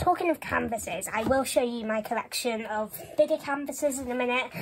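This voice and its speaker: With a Welsh accent, a woman speaks at a high pitch with ordinary pitch variation over light background noise. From Wales. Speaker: YouTuber. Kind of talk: show-and-tell vlog. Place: home room. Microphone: phone near.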